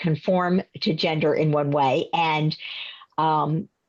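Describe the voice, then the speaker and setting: A woman speaks with a fairly low-pitched voice. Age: 60s. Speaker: counseling psychologist and presenter. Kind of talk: workshop presentation with Q&A. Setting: video call. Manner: hesitant, many fillers.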